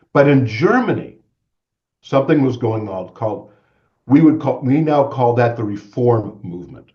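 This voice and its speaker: A man's medium-pitched, somewhat breathy voice, dark and mellow in tone, at a moderate pace with ordinary pitch variation. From Maine, US (Bangor). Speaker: guest speaker on religion. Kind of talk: lecture.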